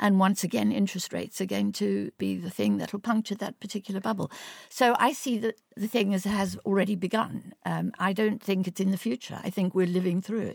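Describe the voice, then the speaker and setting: A woman's medium-pitched voice with vocal fry, fairly even intonation and a fairly quick pace, in a dry, close sound with no echo. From South Africa, Orange Free State. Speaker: economist, policy director. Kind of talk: panel discussion. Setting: studio.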